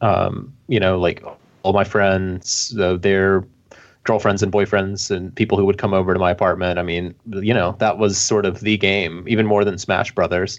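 A man speaks with an American accent at a moderate pace and a fairly low pitch. His delivery is monotone and flat, with very even loudness. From US South, Alabama. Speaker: podcast guest. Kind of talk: casual chat.

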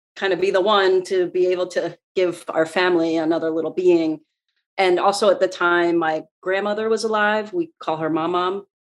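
The pace here is moderate, delivered in a normal speaking voice. Its intonation remains fairly even. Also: woman. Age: 40s. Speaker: podcast guest sharing miscarriage story. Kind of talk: personal testimony in interview.

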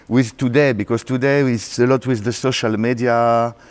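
A man speaks with a French accent at a medium pitch. His pace is fairly slow. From France, Paris. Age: 40s. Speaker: DJ and music producer. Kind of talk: interview. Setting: backstage at a club event in a theater.

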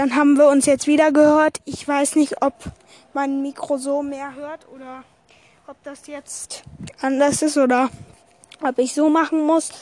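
Words arrive at a rather unhurried speed. Long gaps break up the talk again and again. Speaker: podcast host. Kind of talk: casual solo podcast. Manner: rambling, hesitant.

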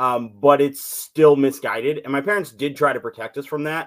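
In an American accent, a man talks at a moderate pace with a fairly high pitch. The recording is very clean with a silent background, and he has an unremarkable speaking voice. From US Southwest and Northern California. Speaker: artist, former church member. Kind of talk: testimony.

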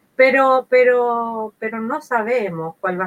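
A woman speaks. The sound is dry and close, with no echo. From Chile, San Carlos de Ñuble. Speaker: sociologist and political candidate. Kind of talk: interview. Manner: halting.

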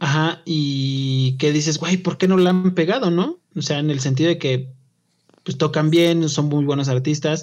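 A man speaks in a normal speaking voice, pitched fairly high. He goes at a fairly slow pace with fairly even intonation. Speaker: podcast co-host. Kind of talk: casual chat.

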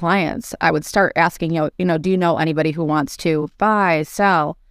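With an American accent and a normal speaking voice, a woman talks at a moderate pace with fairly even intonation, the sound dry and close with no echo. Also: very clean recording, silent background. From upstate New York (Rochester). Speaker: real estate agent. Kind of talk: casual interview.

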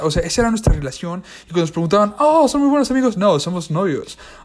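Over noticeable background noise, a man talks with very wide pitch swings. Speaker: podcast host. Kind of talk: solo monologue. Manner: fast.

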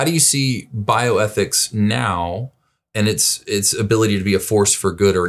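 A man with an American accent and a normal speaking voice, fairly low-pitched, with ordinary pitch variation, on a very clean recording with a silent background. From US South, Birmingham, Alabama. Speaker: pastor. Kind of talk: interview conversation.

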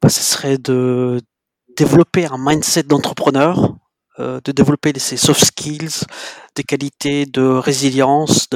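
In a dry, close sound with no echo, a man speaks at medium pitch and a fairly slow pace with monotone, flat intonation. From Djibouti. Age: 30s. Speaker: sales development representative. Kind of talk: interview.

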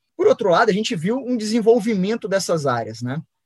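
Fairly quick and full of lively intonation, a man's voice comes through dry and close with no echo. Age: 30s. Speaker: podcast host. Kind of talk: casual chat.

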